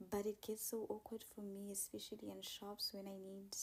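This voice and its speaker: The speech moves at a moderate pace in a South African accent. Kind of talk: casual vlog.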